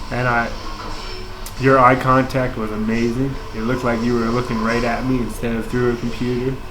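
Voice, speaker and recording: A man with an American accent talks at a fairly quick pace and medium pitch, in a monotone, flat intonation. Noticeable background noise and audible room echo are present. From Florida. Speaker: student. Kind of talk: peer review monologue. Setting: at work. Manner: fast; filler-heavy, um and uh.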